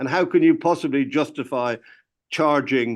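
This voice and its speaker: In an Irish accent, a man with a fairly high pitch talks at a moderate pace against a quiet background. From Ireland. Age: 80s+. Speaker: music industry veteran, record label founder. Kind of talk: interview. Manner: animated; halting.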